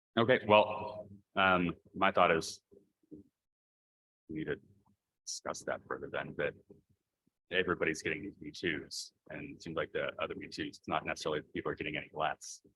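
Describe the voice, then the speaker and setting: Loudness swings widely as a man talks, leaving long, frequent pauses. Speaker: school board president. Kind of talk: board meeting.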